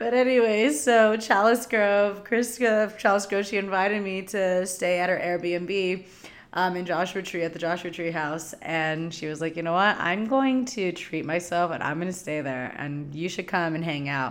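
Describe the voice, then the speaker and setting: With a Californian accent, a woman talks at a moderate pace with hardly any pauses. Her pitch is medium and varies in an ordinary way. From US West Coast (Southern California desert). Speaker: podcast host and spiritual teacher. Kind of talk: solo monologue, casual storytelling. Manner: casual, filler-heavy with laughs.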